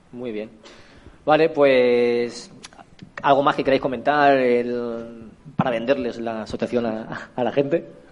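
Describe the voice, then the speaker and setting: Long, frequent pauses break up a man's fairly slow speech, delivered at a medium pitch with fairly even intonation. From Spain, Elche (Valencia region). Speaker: event presenter. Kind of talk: live interview at event.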